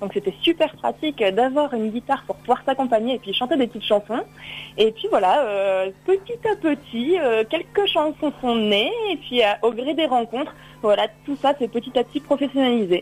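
Speaking at a high pitch, a woman uses lively intonation. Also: moderate pace. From Drôme, southeastern France. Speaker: singer-songwriter. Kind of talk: radio interview. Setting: phone call. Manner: halting, many repetitions.

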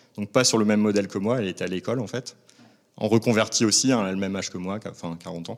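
In a very clean recording with a silent background, a man talks fairly quickly in an ordinary speaking voice, fairly low in pitch with ordinary pitch variation. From northern France, Lille. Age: 40s. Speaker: baker. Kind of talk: interview. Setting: on location at a shop.

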